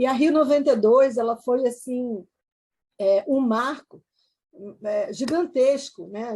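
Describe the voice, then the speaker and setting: The speaker is a woman with a high pitch and ordinary pitch variation. She talks at a fairly slow speed. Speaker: environmental law specialist. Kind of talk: online panel talk. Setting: video call. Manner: halting, many fillers.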